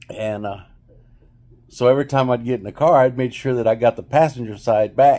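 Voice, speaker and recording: Talking at a very fast pace, a man with a West Texas accent has a medium pitch, a dark, mellow tone and fairly even intonation. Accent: West Texas Southern US. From West Texas, Pecos. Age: 60s. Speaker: video blogger. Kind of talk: casual storytelling monologue. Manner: casual, hesitant with fillers.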